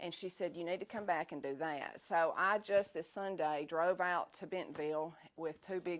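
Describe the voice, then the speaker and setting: A woman's fairly low voice with a Southern US accent. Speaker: food business owner. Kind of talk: talk to an audience. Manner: fast; animated.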